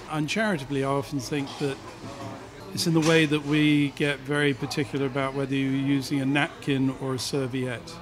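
Over music in the background, the speaker keeps a fairly quick pace and a fairly even intonation. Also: man. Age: 60s. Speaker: restaurateur. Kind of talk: interview. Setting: restaurant. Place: cafe. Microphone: studio mic.

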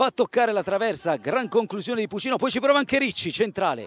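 Animated in tone, a man talks at a fairly quick pace. The sound is dry and close, with no echo. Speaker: football commentator. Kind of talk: live sports commentary. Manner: rapid-fire, breathless play-by-play; animated, rising on goals.

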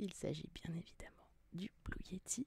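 Very slowly, a soft-spoken woman whispers in a dry sound with no echo. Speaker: ASMR youtuber. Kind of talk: ASMR unboxing video, casual talk to camera. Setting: studio microphone recording. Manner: soft-spoken, whispering. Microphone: studio mic.

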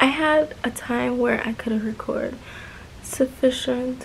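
A woman's voice against light background noise. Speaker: vlogger. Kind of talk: casual vlog chat. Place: home room. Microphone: phone near.

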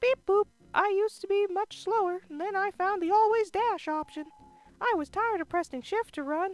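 A woman's put-on character voice at an extremely high pitch, moderate pace, with faint music in the background. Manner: playful.

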